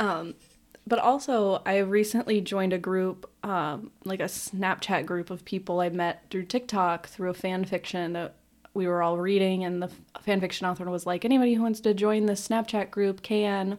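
At a moderate pace, a woman speaks with a medium pitch and fairly even intonation. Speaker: podcast host. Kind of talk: casual chat. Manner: loud, prone to outbursts.

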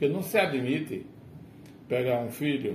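Against noticeable background noise and audible room echo, a man talks at a medium pitch and a fairly slow pace. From Brazil, rural Rio Grande do Norte (Agreste Potiguar). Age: 60s. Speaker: retired teacher. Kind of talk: casual chat. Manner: formal.

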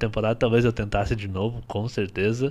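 In a very clean recording with a silent background, a man speaks at medium pitch with monotone, flat intonation. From Paraná, Brazil. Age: 30s. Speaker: dancer and dance teacher. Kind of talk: casual chat.

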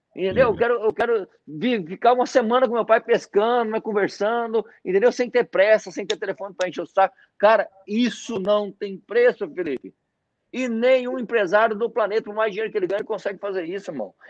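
Over a quiet background, a man talks at a fairly quick pace in a high pitch with fairly even intonation, the sound dry and close with no echo. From Mato Grosso, Brazil (born in Paraná, moved at 7-8). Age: 40s. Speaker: network marketing leader. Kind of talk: interview on a live stream.

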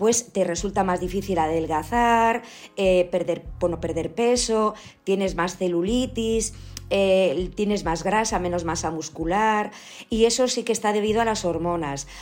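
Using a normal speaking voice, a woman talks at a fairly slow pace in a medium pitch with ordinary pitch variation. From Spain, Galicia (Ourense). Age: 50s. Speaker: family doctor. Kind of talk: interview.

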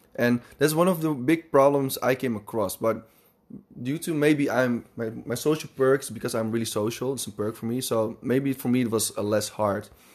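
Speaking with a Dutch accent, a man keeps a moderate pace, a medium pitch and ordinary pitch variation. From Netherlands, Amsterdam. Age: 20s. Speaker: podcast host. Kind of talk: casual chat. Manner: halting.

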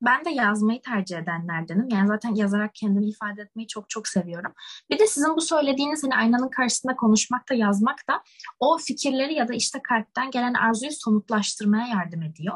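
Speaking at a fairly quick pace, a woman with an unremarkable speaking voice uses lively intonation at a fairly high pitch, recorded in a dry, close sound with no echo. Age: young. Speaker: university student, podcast co-host. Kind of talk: casual chat.

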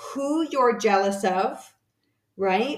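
Fairly slow pace from a woman with a normal speaking voice and medium pitch. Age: 50s. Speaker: podcast host and health coach. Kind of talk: solo podcast monologue. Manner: casual with frequent fillers.

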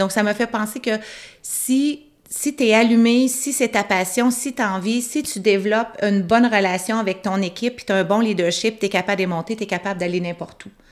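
At a moderate pace, an ordinary speaking voice moves through ordinary pitch variation. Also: woman, fairly high pitch for a woman. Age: 50s. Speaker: pub owner and entrepreneur. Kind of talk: interview.

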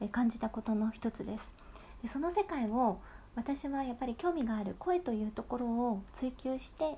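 A woman speaks at a fairly high pitch and a moderate pace, with lively intonation. Her tone is gentle and relaxed, as well as dark and mellow. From Bangkok, Thailand (Japanese expat childhood). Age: 20s. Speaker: podcast host and narrator. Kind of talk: casual diary-style monologue. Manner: gentle, relaxed.

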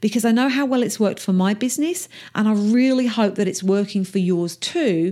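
A woman with an Essex accent speaks at a fairly quick pace with lively intonation, her somewhat breathy voice fairly high in pitch yet dark and mellow in tone, on a very clean recording with a silent background. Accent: Essex English, a little rough. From England, Essex. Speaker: podcast host, business coach. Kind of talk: solo podcast monologue. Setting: home office. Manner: casual, chatty.

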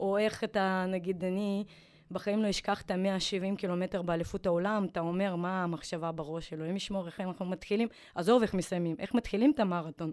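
A woman with an ordinary speaking voice talks at a fairly quick pace and medium pitch with fairly even intonation, on a very clean recording with a silent background. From former Soviet Union. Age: 40s. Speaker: retired triathlete. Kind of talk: interview.

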